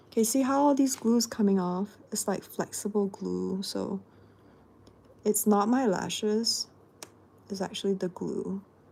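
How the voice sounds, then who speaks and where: A woman's medium-pitched, somewhat breathy voice with a dark, mellow tone, fairly even intonation, a fairly slow pace and long, frequent pauses. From Singapore. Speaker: beauty livestreamer. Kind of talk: casual livestream tutorial.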